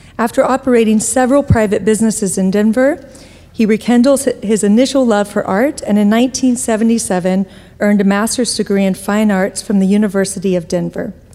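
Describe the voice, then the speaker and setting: A woman with a fairly high voice talks at a fairly quick pace and very even loudness over noticeable background noise. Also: ordinary pitch variation. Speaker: event organizer introducing speakers. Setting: stage with audience.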